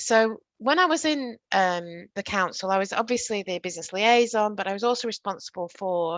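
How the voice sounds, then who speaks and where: A woman with a northern English accent, ordinary pitch variation, and a dry, close sound with no echo against a quiet background. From northern England. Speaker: workplace training presenter. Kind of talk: virtual training presentation.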